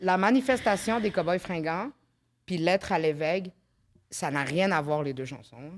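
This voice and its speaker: On a very clean recording with a silent background, a woman speaks fairly slowly at a fairly low pitch, with lively intonation, big swings in loudness, and long, frequent pauses. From Quebec. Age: 30s. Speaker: podcast host, comedian. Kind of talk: casual chat.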